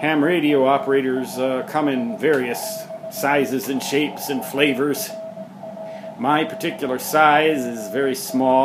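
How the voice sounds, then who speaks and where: Music plays in the background as a man speaks. His pace is fairly slow and his intonation lively. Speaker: amateur radio operator. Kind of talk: casual home tour narration. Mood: wry, self-deprecating humor. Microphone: phone near.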